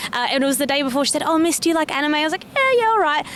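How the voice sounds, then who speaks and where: A woman with an Australian accent and lively intonation, against noticeable background noise. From South Australia (Adelaide). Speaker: secondary school cover teacher. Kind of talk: street interview.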